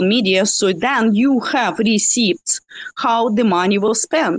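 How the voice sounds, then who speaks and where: Spoken with a Russian accent, the voice shows ordinary pitch variation. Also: woman. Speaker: community member. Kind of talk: casual group discussion. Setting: remote audio connection.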